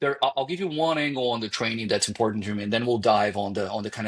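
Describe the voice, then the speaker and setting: A man speaks with a slight Brazilian accent. His pitch varies in an ordinary way. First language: Portuguese. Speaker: marketing executive. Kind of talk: podcast interview. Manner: halting, with false starts.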